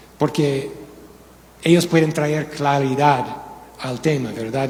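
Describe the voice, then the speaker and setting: Speaking fairly slowly with ordinary pitch variation, a man comes through noticeable background noise and audible room echo. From United States. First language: English (speaking Spanish). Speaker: pastor. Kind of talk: sermon. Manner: halting.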